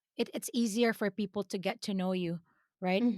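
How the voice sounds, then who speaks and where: A woman with a slight Filipino accent speaks at a medium pitch and a moderate pace, with ordinary pitch variation. The recording is very clean, with a silent background and a dry, close sound with no echo. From Philippines. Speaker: business owner, CEO. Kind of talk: interview conversation.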